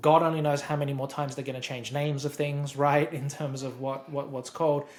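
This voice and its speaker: The speaker talks at a fairly quick pace with an Australian accent. The voice is somewhat breathy. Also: man. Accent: Australian, noticeable. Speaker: software expert. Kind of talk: interview explanation. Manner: repeats words often.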